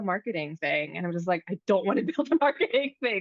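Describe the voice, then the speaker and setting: Speaking at a fairly quick pace, a woman with an American accent uses a medium pitch. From United States. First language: Vietnamese. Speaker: podcast host, startup founder. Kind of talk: casual conversation. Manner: relaxed, many fillers.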